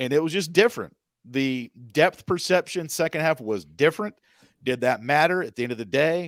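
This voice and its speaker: A man with an unremarkable speaking voice talks at a moderate pace with ordinary pitch variation. The recording is very clean with a silent background and a dry, close sound with no echo. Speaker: radio play-by-play sports announcer, podcast guest. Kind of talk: podcast interview answer about basketball.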